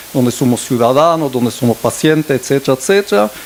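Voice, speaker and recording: A fairly quick pace and ordinary pitch variation over noticeable background noise. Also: man. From Belgium. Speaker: director of a digital transformation network, panelist. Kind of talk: panel discussion. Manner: hesitant, many fillers and restarts.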